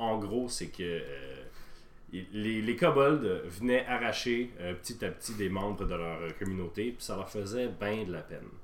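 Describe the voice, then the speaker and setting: Audible room echo surrounds a man with a Quebec accent who speaks at a fairly slow pace and fairly low pitch with lively intonation. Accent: Québécois French. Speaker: podcast host and game master. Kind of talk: tabletop role-play narration.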